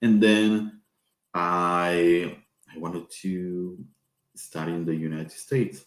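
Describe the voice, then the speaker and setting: A man talks at a very slow pace in a very deep, low voice. He has a Spanish accent and ordinary pitch variation. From Peru. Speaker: professor. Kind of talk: informational talk. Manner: halting.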